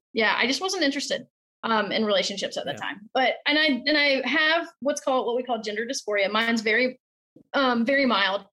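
High-pitched and bright, sharp in tone, a woman speaks at a fairly quick pace. Her intonation is lively. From South Carolina. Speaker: model horse hobbyist. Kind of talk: casual interview. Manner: talkative.

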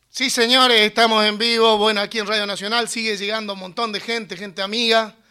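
A man's raised, projected voice, high-pitched with a bright, sharp tone, monotone and flat, at a fairly quick pace on a very clean recording with a silent background. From Entre Ríos, Argentina (Mocoretá). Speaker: radio host. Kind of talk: live radio chat. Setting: radio studio.

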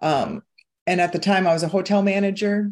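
A woman at a moderate pace, with a Midwestern American accent. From US Midwest, Iowa. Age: 50s. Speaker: hypnotherapist and weight-loss coach. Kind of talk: casual interview chat.

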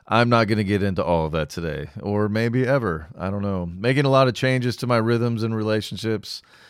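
A man with an American accent talks at a fairly quick pace and a fairly low pitch, with ordinary pitch variation and hardly any pauses. The recording is very clean, with a silent background. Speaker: podcast host. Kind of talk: solo podcast monologue, casual talk. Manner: casual, rambling, with fillers.

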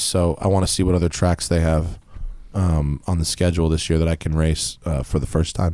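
This man's voice is dark and mellow, with a very deep, low pitch. He keeps a moderate pace and fairly even intonation. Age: 30s. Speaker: car podcast host. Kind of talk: casual chat.

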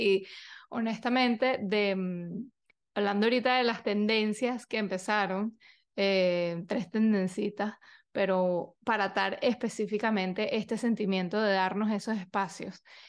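Fairly slow and with ordinary pitch variation, a woman with a fairly high voice speaks against a quiet background. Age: 30s. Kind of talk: casual monologue. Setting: video recording. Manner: animated.

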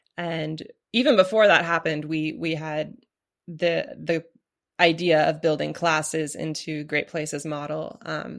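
A woman with an American accent and a very deep, low pitch, vocal fry, fairly even intonation and a fairly slow pace, on a very clean recording with a silent background. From US Pacific Northwest, Portland, Oregon. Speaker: novelist and writing teacher. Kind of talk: interview conversation. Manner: hesitant, many fillers.

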